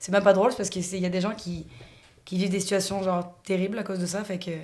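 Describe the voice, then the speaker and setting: Speaking at a very fast pace, a woman with a medium pitch and a somewhat breathy voice is heard with audible room echo. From France. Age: 30s. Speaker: podcast guest. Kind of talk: casual chat.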